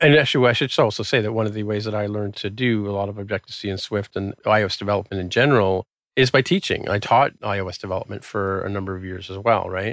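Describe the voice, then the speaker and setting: A man speaks at a very fast pace with hardly any pauses, his pitch fairly low and his intonation fairly even. The sound is dry and close, with no echo. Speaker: software developer and tech podcaster. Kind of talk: casual interview chat.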